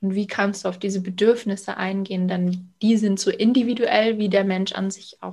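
At a moderate pace, a woman with a somewhat breathy, medium-pitched voice speaks in a monotone, flat way while her loudness swings widely. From Bavaria, Munich area. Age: 30s. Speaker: sales coach and founder. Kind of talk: podcast interview.

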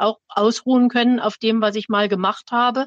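A woman talks in a flat monotone at a fairly high pitch. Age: 60s. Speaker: retired teacher. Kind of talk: personal testimony.

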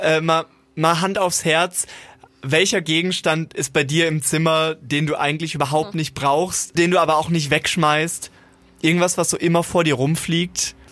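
Man with a fairly high pitch and a bright, sharp tone, in monotone, flat intonation at a moderate pace. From Germany, partly Siegerland. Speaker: podcast co-host. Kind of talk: casual chat.

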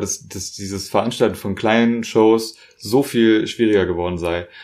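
A man's unremarkable speaking voice, fairly low-pitched and at a moderate pace. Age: 20s. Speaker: podcast host. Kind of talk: casual interview. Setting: at home.

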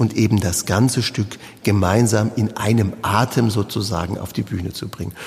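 A man at a moderate pace and a fairly low pitch, with noticeable background noise. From Palatinate, Germany (Südpfalz). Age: 50s. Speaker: cellist and artistic director. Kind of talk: interview.

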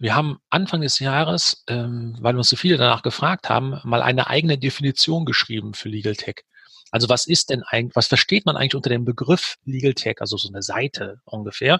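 Recorded very cleanly over a silent background, a man talks fairly quickly at a medium pitch with a bright, sharp tone and ordinary pitch variation. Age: 50s. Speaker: publisher, managing director. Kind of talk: interview. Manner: hesitant with many fillers.

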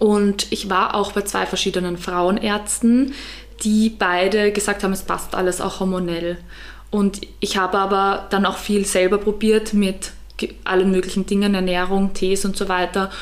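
A woman with a medium pitch speaks at a moderate pace in a monotone, flat way. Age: 20s. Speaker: photographer. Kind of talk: casual chat.

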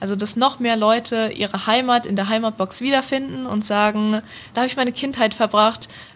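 This woman has a plain, everyday voice, fairly high in pitch, with fairly even intonation and a fairly quick pace. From Hesse, near Frankfurt am Main. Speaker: university student. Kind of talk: interview.

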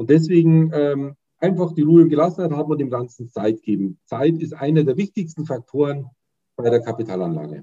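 A man's dark, mellow tone, somewhat breathy, with lively intonation and a dry, close sound with no echo. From Bavaria, Munich. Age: 50s. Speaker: fund sales and training manager. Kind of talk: casual interview. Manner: hesitant, with frequent fillers.

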